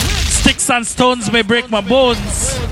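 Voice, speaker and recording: Over noticeable background noise, a man uses a raised, projected voice at a fairly slow pace. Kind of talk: radio DJ patter, hyped-up party promo and mixtape hosting with shout-outs and event ads. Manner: playful, teasing and flirtatious when addressing the ladies.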